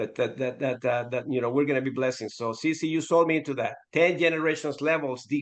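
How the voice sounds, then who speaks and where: A man's fairly high-pitched voice at a fairly quick pace, with hardly any pauses. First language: Spanish. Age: 50s. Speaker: network marketing regional director. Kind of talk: casual chat.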